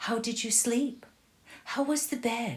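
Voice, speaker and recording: A woman's put-on character voice, high-pitched, fairly slow and with fairly even intonation. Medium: read story.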